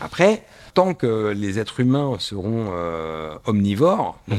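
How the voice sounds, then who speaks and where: The speaker moves at a very slow pace with very wide pitch swings in a very clean recording with a silent background. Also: man. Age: 50s. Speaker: watch strap maker. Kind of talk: interview. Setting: in his workshop.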